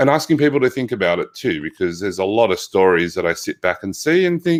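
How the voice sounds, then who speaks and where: An Australian accent at a moderate pace with very wide pitch swings, in a very clean recording over a silent background. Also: man. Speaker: physical therapist. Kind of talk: interview conversation.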